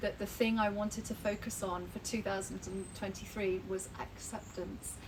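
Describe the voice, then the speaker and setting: With a London accent, a woman speaks at a medium pitch in a monotone, flat intonation, and audible room echo surrounds her. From England. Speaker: cancer patient. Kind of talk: casual chat. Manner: halting.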